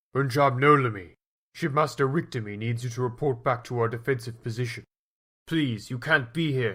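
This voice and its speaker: A man speaks in a put-on character voice at medium pitch and a moderate pace. The recording is very clean, with a silent background. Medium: machinima. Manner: urgent, commanding.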